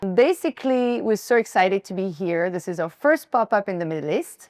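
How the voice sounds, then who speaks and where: A woman with a French accent speaks with lively intonation in a dry, close sound with no echo. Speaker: fashion brand founder. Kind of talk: styling presentation to a live audience. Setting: pop-up store event with audience. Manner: casual, conversational.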